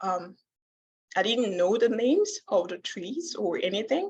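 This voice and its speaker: A woman speaks at a very slow pace, her intonation lively. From Democratic Republic of Congo. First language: not English; English is her fourth language. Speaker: student presenter. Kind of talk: conference talk. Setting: conference session with audience. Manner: hesitant, many filler words.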